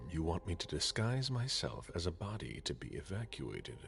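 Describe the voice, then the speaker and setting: A man does a put-on character voice at a very deep, low pitch and a moderate pace, with clear background noise behind him. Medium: video game. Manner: serious, direct.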